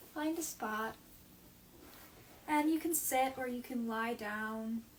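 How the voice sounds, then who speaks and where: A woman speaks very slowly in a calm tone and a high pitch. Noticeable background noise runs underneath. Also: ordinary pitch variation. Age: 20s. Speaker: meditation guide. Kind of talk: guided meditation. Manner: slow, calm.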